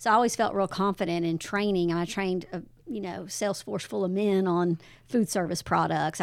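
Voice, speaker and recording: In an ordinary speaking voice, a woman with a medium pitch talks at a fairly quick pace with ordinary pitch variation, on a very clean recording with a silent background. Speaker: church guest.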